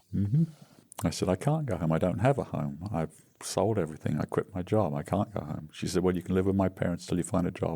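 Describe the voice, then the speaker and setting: This man has a very deep, low pitch and a dark, mellow tone, with ordinary pitch variation. He speaks very fast in an English accent. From England. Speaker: recovering alcoholic, retired business founder. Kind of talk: interview testimony. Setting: podcast interview.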